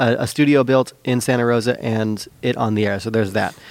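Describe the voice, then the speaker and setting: A man with an American accent has an unremarkable speaking voice. His pitch is medium, with ordinary pitch variation. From Petaluma, California. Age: 40s. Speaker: musician and guest. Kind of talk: casual podcast conversation.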